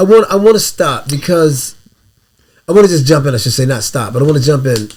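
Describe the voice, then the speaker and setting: Very wide pitch swings, a somewhat breathy tone, and a very fast pace. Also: man. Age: 60s. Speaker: podcast co-host. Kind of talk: casual chat.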